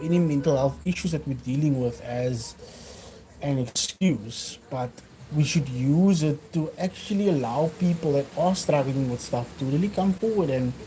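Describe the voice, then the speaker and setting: With a Cape Town accent, a man speaks at a fairly slow pace in a fairly high pitch with ordinary pitch variation. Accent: South African (Cape Town) English. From South Africa, Cape Town. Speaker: fitness vlogger. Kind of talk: casual livestream talk. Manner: hesitant, many fillers.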